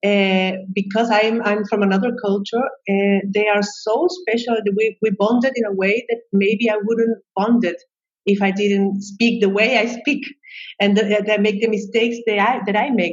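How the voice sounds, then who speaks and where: At a moderate pace, a woman speaks with a Chilean Spanish accent at a fairly high pitch. Her loudness stays very even and her intonation fairly even. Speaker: psychologist and expat coach. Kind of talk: interview conversation. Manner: halting, many fillers and repetitions.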